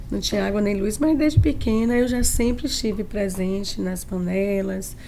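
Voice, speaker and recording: At a moderate pace, a woman speaks at medium pitch with audible room echo. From Bahia, Brazil (Tanquinho, countryside). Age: 60s. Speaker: chef. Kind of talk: podcast interview.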